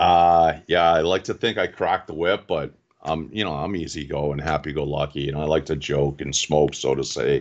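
In a Boston accent, the speaker keeps a moderate pace and fairly even intonation with hardly any pauses, against a quiet background. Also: man, very deep, low pitch for a man. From Boston area, Massachusetts (Quincy). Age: 40s. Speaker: reef club president, aquarium hobbyist. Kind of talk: casual interview.

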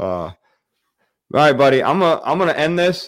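On a very clean recording with a silent background, a man with an American accent speaks fairly quickly. His pitch swings very widely. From Michigan, the Thumb. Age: 30s. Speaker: hunting YouTuber and live stream host. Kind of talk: casual live-stream interview.

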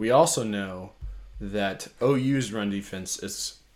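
In a very clean recording with a silent background, a man with an American accent uses an ordinary speaking voice at medium pitch with ordinary pitch variation. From Colorado. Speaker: sports podcast host. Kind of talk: casual chat.

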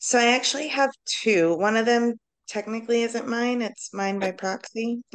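With an American accent and an unremarkable speaking voice, a woman speaks at a moderate pace in a fairly high pitch with fairly even intonation. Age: 30s. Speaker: social worker. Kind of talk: casual chat.

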